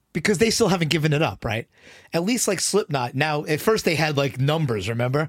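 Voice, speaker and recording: A somewhat breathy man's voice, fairly high in pitch, at a fairly quick pace with very wide pitch swings and a dry, close sound with no echo. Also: very clean recording, silent background. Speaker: music podcast co-host. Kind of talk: casual chat. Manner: halting.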